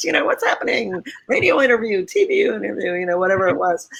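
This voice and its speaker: Very fast speech in an American accent, with noticeable background noise. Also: woman. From US Northeast, Connecticut. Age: 60s. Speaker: magazine publisher. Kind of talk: interview.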